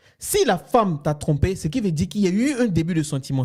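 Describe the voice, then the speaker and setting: Very fast and loud, a man talks in a high voice with very wide pitch swings and an animated tone. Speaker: co-host of a married couple's relationship channel. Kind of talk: casual discussion.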